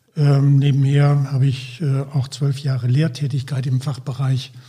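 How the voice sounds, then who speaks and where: Speaking at a fairly slow pace, a man with a medium-pitched, dark, mellow and somewhat breathy voice holds a monotone, flat intonation. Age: 70s. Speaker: healthcare consultant, former anaesthetist. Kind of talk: podcast interview.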